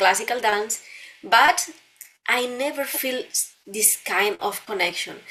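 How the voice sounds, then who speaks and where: A woman with a Spanish accent at a fairly slow pace, with ordinary pitch variation. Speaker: dancer and dance teacher. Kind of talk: interview. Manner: halting, with repeated words.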